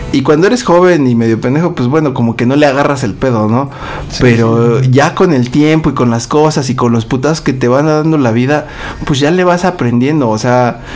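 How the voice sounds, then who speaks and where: A man with a Mexican accent speaks at a fairly quick pace and medium pitch with ordinary pitch variation, amid audible room echo and noticeable background noise. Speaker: podcast co-host. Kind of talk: casual chat.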